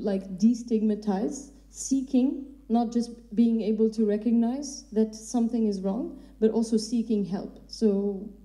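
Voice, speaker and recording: At a fairly slow pace, a woman with a fairly high pitch speaks in a dark, mellow, somewhat breathy tone with fairly even intonation. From Algeria. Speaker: panel moderator. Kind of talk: panel discussion.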